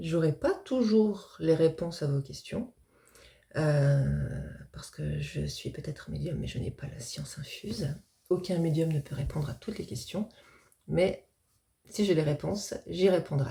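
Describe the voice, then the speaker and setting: The speech unfolds at a fairly slow pace with long, frequent pauses. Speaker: medium, spiritual video creator. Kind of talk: casual explanatory talk to camera. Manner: hesitant, many fillers.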